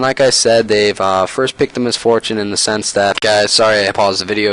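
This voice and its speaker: At a very fast pace, a man with a fairly low pitch speaks over noticeable background noise. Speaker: esports analysis YouTuber. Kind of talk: game analysis commentary. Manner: hesitant fillers.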